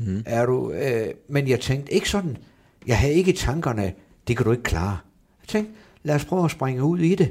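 A man at medium pitch speaks somewhat breathily at a moderate pace, with very wide pitch swings and long, frequent pauses. The recording is very clean, with a silent background. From northern Jutland, Brønderslev. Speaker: football coach. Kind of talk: interview. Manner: halting, many fillers and repetitions.

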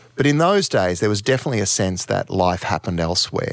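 With an Australian accent, a man speaks at a very deep, low pitch. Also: very clean recording, silent background. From Townsville, Queensland, Australia. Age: 50s. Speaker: music manager. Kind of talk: interview.

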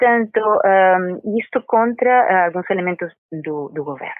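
The speaker has a Spanish accent and lively intonation. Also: woman. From Venezuela. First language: Spanish (speaking Portuguese). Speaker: university professor of international relations. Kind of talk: interview. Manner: halting, with many fillers.

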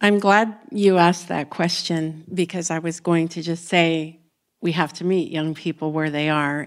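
A woman's fairly low voice with an American accent, an unremarkable speaking voice, fairly even intonation and a fairly slow pace, on a very clean recording with a silent background. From Texas. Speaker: museum educator. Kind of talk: panel discussion.

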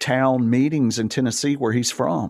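Speaking at a fairly slow pace, a man talks with an Alabama accent. The recording is very clean, with a silent background. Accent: US Southern (Alabama). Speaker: gospel radio DJ. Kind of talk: casual chat. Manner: halting, many fillers.

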